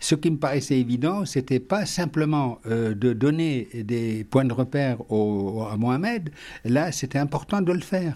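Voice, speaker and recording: In a very clean recording with a silent background, a man with a dark, mellow tone speaks at a fairly slow pace with lively intonation. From Algeria. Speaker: retired educator and interfaith activist. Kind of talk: interview. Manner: halting, many repetitions and hesitations.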